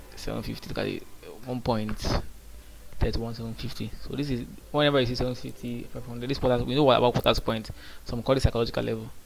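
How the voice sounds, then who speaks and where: Amid audible room echo, a man talks at a very fast pace broken by long, frequent pauses. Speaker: day trader. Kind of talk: casual trading vlog commentary. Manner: halting, with repetitions.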